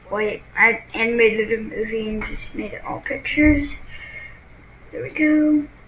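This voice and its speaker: A woman's high voice at a moderate pace, with ordinary pitch variation, big swings in loudness and noticeable background noise. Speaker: gaming channel creator. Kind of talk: tutorial. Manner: halting.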